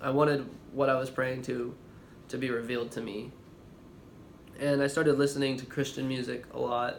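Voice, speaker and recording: A man at medium pitch talks at a fairly quick pace with monotone, flat intonation and long, frequent pauses, with audible room echo. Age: 20s. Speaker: vlogger. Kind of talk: testimony. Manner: halting, with pauses and stammering.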